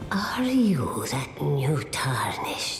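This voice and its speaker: A cartoonish character voice whispers with a slight echo. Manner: slow, cryptic, hushed.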